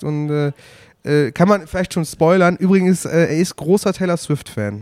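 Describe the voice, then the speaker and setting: A high-pitched man is heard in a very clean recording with a silent background and a dry, close sound with no echo. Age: 30s. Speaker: music podcast host. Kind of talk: casual chat. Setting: at a music festival. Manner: halting.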